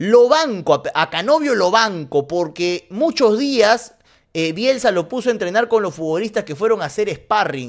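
Against a quiet background, a high-pitched man speaks fairly slowly in an animated tone with very wide pitch swings. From Peru. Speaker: streamer and football commentator. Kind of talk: casual livestream commentary. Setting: livestream. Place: home room. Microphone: studio mic.

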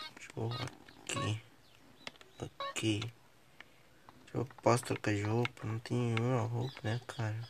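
A man's fairly slow, medium-pitched speech with long, frequent pauses over noticeable background noise. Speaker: gaming youtuber. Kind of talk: gameplay commentary. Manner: casual, animated.

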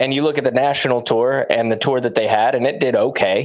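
With an unremarkable speaking voice, a man of medium pitch talks at a moderate pace with fairly even intonation. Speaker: professional disc golfer and co-host. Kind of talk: casual chat.

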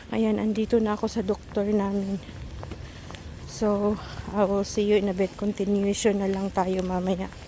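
At a fairly slow pace, a woman speaks in a flat monotone at a medium pitch over noticeable background noise. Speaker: vlogger. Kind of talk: casual vlog narration. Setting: outdoors.

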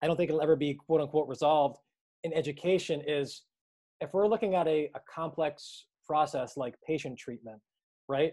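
Speech in a dark, mellow tone moves at a moderate pace with ordinary pitch variation. The background is quiet. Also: man, fairly high pitch for a man. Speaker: physical therapist and practice co-founder. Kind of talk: lecture to students. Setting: video call. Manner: talkative, long-winded. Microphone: video call.

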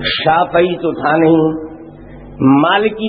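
A man's voice with noticeable background noise. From India, Bihar. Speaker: Deobandi Islamic scholar and public preacher. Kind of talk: religious sermon at a public gathering. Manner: humorous, argumentative, rhetorical.

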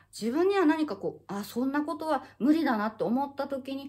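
The woman's voice is somewhat breathy. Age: 50s. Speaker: acupuncturist and health YouTuber; health YouTuber. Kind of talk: casual monologue to camera. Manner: halting, many fillers. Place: home room. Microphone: phone near.

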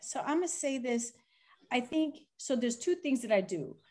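With an American accent, a woman talks in a high voice with lively intonation at a moderate pace. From United States. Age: 40s. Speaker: panelist. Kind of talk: panel discussion. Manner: animated. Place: home room. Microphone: video call.

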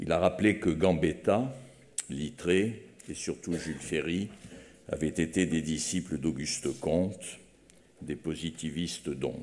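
A man speaks at a fairly slow pace, with long, frequent pauses. His very deep, low voice carries vocal fry and ordinary pitch variation. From France. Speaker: foundation president. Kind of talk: formal eulogy speech. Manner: formal. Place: hall. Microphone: podium.

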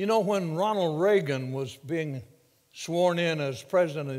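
A man speaking, the background quiet. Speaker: visiting preacher. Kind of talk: sermon. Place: church. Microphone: lapel.

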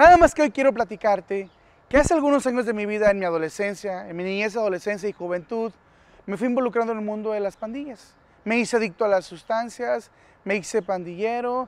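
The pace is fairly quick, with ordinary pitch variation. The sound is dry, with no echo. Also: man, high pitch for a man. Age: 30s. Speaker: former gang member, youth outreach speaker; speaker. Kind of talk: public service announcement. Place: garden.

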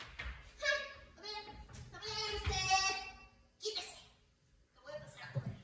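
A put-on character voice, squeaky and extremely high in pitch, moves at a fairly slow pace. Long pauses come often. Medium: stage play. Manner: cocky, excitable.

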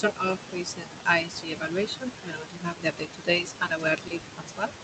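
A woman with a fairly low voice talks at a moderate pace with ordinary pitch variation over noticeable background noise. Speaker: working group chair. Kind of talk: online technical meeting. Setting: video call. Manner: halting. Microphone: video call.

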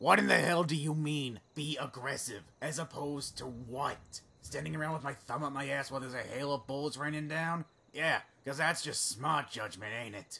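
With fairly even intonation and a moderate pace, this man's voice sits fairly high. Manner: grumpy, sarcastic, profane but friendly.

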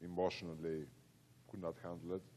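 A man with a Greek accent speaks in a dark, mellow tone. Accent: Greek, noticeable. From Greece. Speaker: event host, foundation board member. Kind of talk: event moderation.

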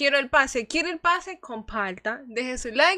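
A woman's raised, projected voice with a high pitch, a bright, sharp tone, an animated tone, lively intonation and a moderate pace, over a quiet background. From Ecuador. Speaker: gaming streamer. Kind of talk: live gaming stream chat. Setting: livestream. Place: home room. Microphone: studio mic.

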